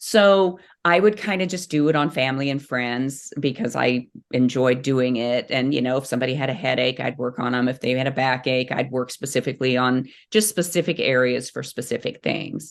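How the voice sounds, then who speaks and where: At a fairly quick pace, a woman speaks in a very deep, low voice with ordinary pitch variation. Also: quiet background. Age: 60s. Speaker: reflexologist. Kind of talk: interview. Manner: animated.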